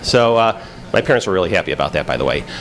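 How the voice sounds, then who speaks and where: A man talks at a very fast pace with a Chicago accent over noticeable background noise. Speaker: FBI agent, conference speaker. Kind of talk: conference talk. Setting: stage with audience. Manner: halting, many fillers.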